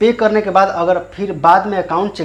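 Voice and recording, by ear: A man is talking. He keeps up a fairly quick pace.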